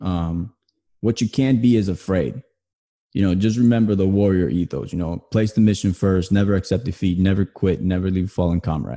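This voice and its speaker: Against a quiet background, a man with an American accent talks at a fairly quick pace, his very deep, low pitch carrying a dark, mellow tone and ordinary pitch variation. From New Jersey. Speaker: army veteran and online marketer. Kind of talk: interview.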